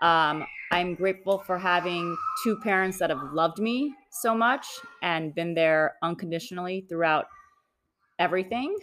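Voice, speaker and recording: With very even loudness, a woman speaks at a moderate pace and a fairly low pitch. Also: ordinary pitch variation. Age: 40s. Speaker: real estate developer, former attorney. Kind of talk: personal interview. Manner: hesitant with frequent ums.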